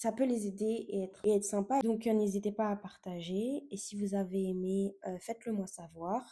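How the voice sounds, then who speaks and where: In a dark, mellow tone, a woman speaks fairly slowly at a medium pitch with fairly even intonation. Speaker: podcast host. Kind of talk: casual podcast monologue. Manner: hesitant, many fillers.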